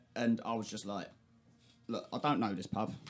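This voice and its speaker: A man with a London accent and fairly low pitch. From South East London. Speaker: podcast host. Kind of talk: casual chat. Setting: studio.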